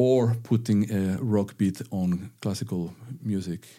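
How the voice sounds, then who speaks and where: In a Spanish accent, a man speaks with a dark, mellow tone, fairly low pitch and ordinary pitch variation, on a very clean recording with a silent background. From northern Spain. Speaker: violinist and music teacher. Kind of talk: interview. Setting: studio. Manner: firm.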